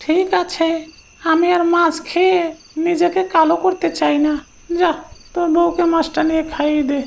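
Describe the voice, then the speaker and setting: A cartoonish character voice, extremely high in pitch, moves at a fairly slow pace. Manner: rough, uses crude familiar address.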